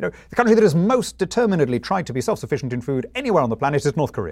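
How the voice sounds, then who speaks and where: With a British accent and vocal fry, a man speaks at a very fast pace, his pitch swinging very widely. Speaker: politician and author. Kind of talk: interview.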